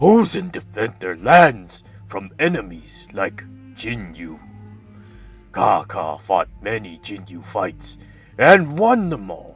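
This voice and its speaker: Faint music plays in the background. A man uses a put-on character voice, fairly low in pitch, at a fairly slow pace. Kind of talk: broken grammar. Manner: gruff.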